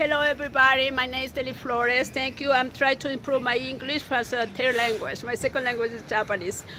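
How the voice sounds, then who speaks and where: A woman's high, raised, projected voice in a Spanish accent, very fast with hardly any pauses and fairly even intonation. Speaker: local activist. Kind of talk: testimony. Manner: halting.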